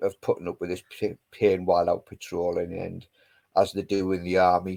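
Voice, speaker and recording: A man speaks at a moderate pace in a Geordie accent, his very deep, low voice dark and mellow in tone. His intonation is monotone and flat, and the recording is very clean with a silent background. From northern England, Newcastle (West End). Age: 50s. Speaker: army veteran. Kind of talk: casual chat.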